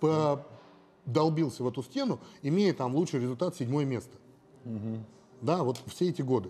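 Here a man speaks at a moderate pace in a dark, mellow tone. He has ordinary pitch variation and takes long, frequent pauses. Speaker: bodybuilder; interview guest. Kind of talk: interview. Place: gym. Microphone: lapel.

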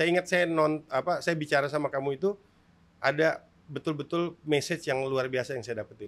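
The speech comes at a fairly quick pace with ordinary pitch variation. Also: man, fairly high pitch for a man. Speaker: podcast host, sports official; podcast host. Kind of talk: interview. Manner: loud. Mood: cheerful, smiling. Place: studio. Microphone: studio mic.

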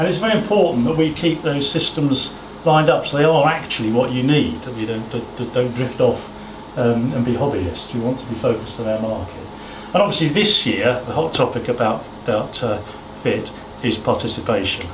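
A man speaks at a fairly quick pace with noticeable background noise. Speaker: presenter. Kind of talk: presentation talk. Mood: relaxed, smiling. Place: hall. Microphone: camera far.

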